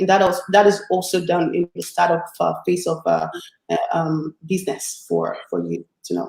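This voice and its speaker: A non-native accent at a moderate pace. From Africa. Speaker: business founder and CEO. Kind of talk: interview. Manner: halting.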